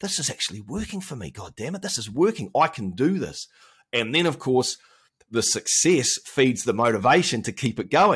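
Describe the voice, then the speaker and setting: A man with a New Zealand accent speaks at medium pitch and a moderate pace, with very wide pitch swings and big swings in loudness. The recording is very clean, with a silent background. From New Zealand, Auckland. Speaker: health coach and former broadcaster. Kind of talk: casual chat.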